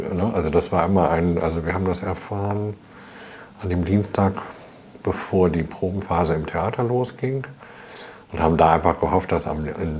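There is noticeable background noise behind this man. He talks at a moderate pace in a very deep, low pitch, with long, frequent pauses. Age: 60s. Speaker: choreographer and director. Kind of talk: interview.

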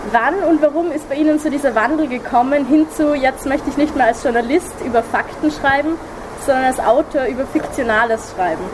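A woman's high voice at a fairly quick pace, ordinary pitch variation, and noticeable background noise. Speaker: podcast host and interviewer. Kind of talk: interview. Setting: outdoors by a river.

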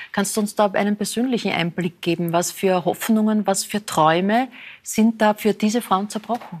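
On a very clean recording with a silent background, a woman speaks at a moderate pace in a medium pitch with fairly even intonation, an ordinary speaking voice. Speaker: talk show host. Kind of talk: interview, talk show. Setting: studio.

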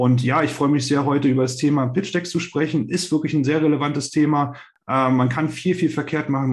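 Somewhat breathy, a man talks at a fairly quick pace with fairly even intonation. Audible room echo surrounds his voice. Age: 30s. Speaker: startup investor, investment company managing director. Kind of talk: podcast interview. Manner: hesitant, many fillers.

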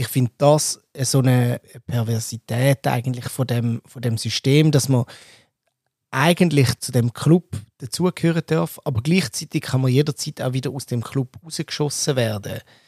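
A somewhat breathy male voice with ordinary pitch variation and big swings in loudness, in a very clean recording with a silent background. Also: medium pitch for a man, moderate pace, dry, close sound with no echo. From Switzerland. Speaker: podcast host. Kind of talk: casual discussion.

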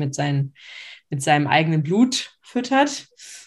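This woman's voice sits at a very deep, low pitch. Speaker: podcast co-host. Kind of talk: casual chat. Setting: video call.

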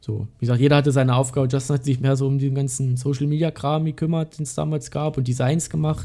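Talking at a very fast pace, a man has a dark, mellow, somewhat breathy tone. His pitch is fairly high and his intonation fairly even. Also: hardly any pauses. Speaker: metal guitarist. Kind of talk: casual interview.

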